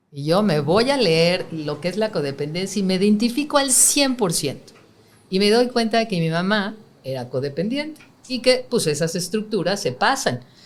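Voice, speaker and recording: Speaking at a moderate pace, a woman uses a medium pitch with very wide swings. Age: 60s. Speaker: spiritual teacher. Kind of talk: interview.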